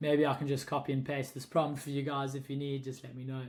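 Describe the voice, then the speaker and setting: At a fairly quick pace, a man with a South African accent speaks at a medium pitch. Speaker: holiday rental host and vlogger. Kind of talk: tutorial. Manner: casual, with many fillers.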